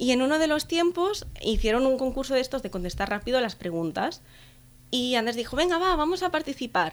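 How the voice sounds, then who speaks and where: This woman's voice is high in pitch and moves at a fairly quick pace. Her pitch swings very widely. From Catalonia, Spain (Tarragona area). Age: 20s. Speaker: travel blogger. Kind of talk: interview.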